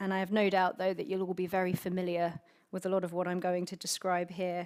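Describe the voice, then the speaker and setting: With a British accent, a woman speaks at a medium pitch in a very clean recording with a silent background. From UK. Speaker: conference speaker. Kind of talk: conference speech.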